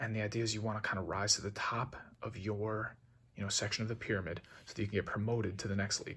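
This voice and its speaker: A man speaks quietly at a fairly low pitch. His pace is very fast. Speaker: video creator explaining football. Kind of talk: casual explainer. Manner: speaking quietly; casual, hesitant with fillers.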